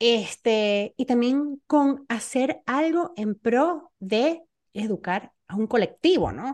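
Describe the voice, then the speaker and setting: The speech moves at a very slow pace. The background is quiet, and the sound is dry and close with no echo. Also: woman, high pitch for a woman, lively intonation. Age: 40s. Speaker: podcast host. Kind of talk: interview conversation.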